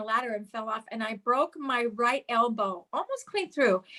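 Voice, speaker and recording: A woman's high voice, bright and sharp in tone, with lively intonation. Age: 60s. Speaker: product user giving testimony. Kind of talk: testimony.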